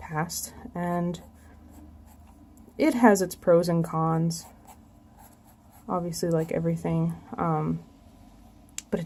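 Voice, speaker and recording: Soft-spoken and somewhat breathy, this voice has a dark, mellow tone and moves at a fairly slow pace. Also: woman. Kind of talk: casual talk to camera while drawing. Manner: soft-spoken, quiet. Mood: a bit nervous, self-conscious. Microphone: phone near.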